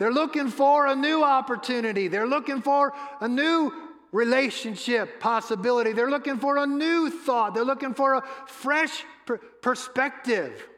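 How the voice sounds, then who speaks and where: Amid noticeable background noise, a man talks at a moderate pace with an extremely high pitch and ordinary pitch variation. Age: 60s. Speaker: pastor. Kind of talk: sermon.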